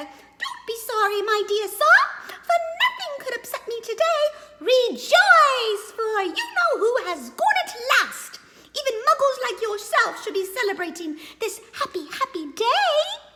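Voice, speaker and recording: A squeaky, put-on character voice pitched extremely high and delivered at a fairly slow pace. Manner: gleeful, joyful.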